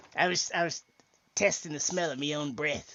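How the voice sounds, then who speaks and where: Moderate pace, fairly high pitch, a man in a put-on character voice. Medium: actual play. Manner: sly, rambling.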